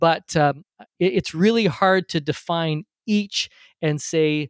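On a very clean, dry, close recording with a silent background and no echo, a man speaks fairly slowly in an ordinary speaking voice, at a fairly high pitch with ordinary pitch variation. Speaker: podcast host and interview coach. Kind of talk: casual interview conversation.

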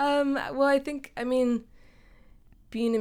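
The speaker talks at a fairly slow pace with an American accent. The recording is very clean, with a silent background. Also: woman. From Western Massachusetts, the Berkshires. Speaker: songwriter and musician. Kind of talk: casual interview chat. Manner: halting, many fillers.

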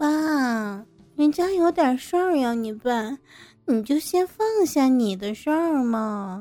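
A woman does a whiny put-on character voice, high-pitched for a woman, with very wide pitch swings at a fairly slow pace. She leaves long, frequent pauses while faint music plays in the background. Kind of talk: sweet, wheedling. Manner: coquettish, flirty, whiny.

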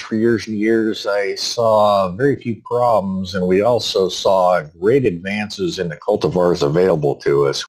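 A man with an unremarkable speaking voice talks at a moderate pace with hardly any pauses. His fairly low pitch moves with lively intonation. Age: 60s. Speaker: farmer. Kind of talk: interview.

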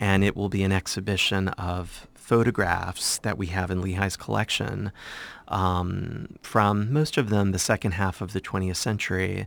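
Someone with an American accent speaks at a moderate pace with fairly even intonation. The recording is very clean with a silent background. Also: man, very deep, low pitch for a man. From southwestern Virginia, US (small Blue Ridge town). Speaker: art gallery director and professor. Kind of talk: interview.

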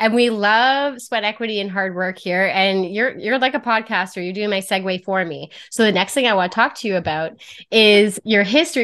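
A woman with a Canadian accent talks at a fairly quick pace in a medium pitch with ordinary pitch variation, a plain, everyday voice over a quiet background. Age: 30s. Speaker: podcast host and mortgage professional. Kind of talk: podcast interview.

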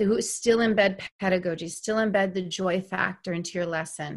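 Against a quiet background, an unremarkable speaking voice with an American accent keeps a fairly even intonation. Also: woman. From North Carolina. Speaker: educator and instructional coach. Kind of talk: interview.

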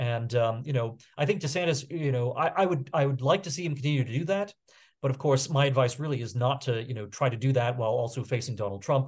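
Against a quiet background, a man speaks at a very fast pace in a somewhat breathy voice. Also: medium pitch for a man, ordinary pitch variation. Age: 40s. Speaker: political commentator and magazine editor. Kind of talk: casual interview. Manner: halting with many fillers.

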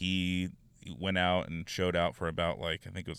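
A man with a Southern California accent speaks in a very deep, low pitch and a monotone, flat intonation. The recording is very clean, with a silent background. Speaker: sports podcaster. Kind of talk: solo sports talk podcast monologue. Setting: in a car.

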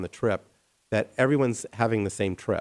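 Ordinary pitch variation at a moderate pace, in an American accent, with a dry, close sound and no echo. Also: man. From Colorado, US. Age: 50s. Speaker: architect. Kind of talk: interview.

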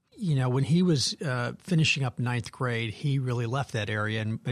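A somewhat breathy man with an American accent talks at a fairly quick pace and a medium pitch. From Wisconsin, Janesville. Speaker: nonprofit CEO and former federal agency head. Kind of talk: interview.

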